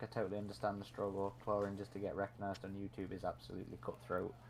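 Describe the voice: Speaking at a fairly quick pace, a man uses a fairly low pitch.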